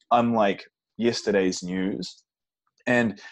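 A man with a New Zealand accent and a fairly low pitch. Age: 30s. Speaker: vegan bodybuilder and fitness coach. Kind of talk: interview.

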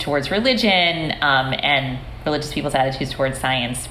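A woman with a very deep, low pitch is heard through audible room echo and noticeable background noise. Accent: American. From upstate New York, US. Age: 40s. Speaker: sociology professor. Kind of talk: interview conversation.

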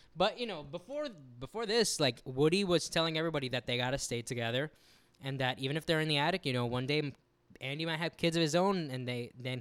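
A man speaks very fast with an American accent and ordinary pitch variation. The recording is very clean, with a silent background. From US, Cuban and Peruvian descent. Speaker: podcast co-host. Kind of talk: casual chat. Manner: animated.

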